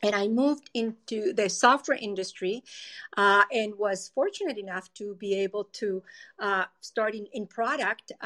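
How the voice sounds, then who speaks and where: A woman speaks in a Spanish accent at a moderate pace, her fairly high pitch showing ordinary variation and a bright, sharp tone. The recording is very clean and dry, close with no echo, against a silent background. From Colombia. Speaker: tech company product executive. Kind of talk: interview.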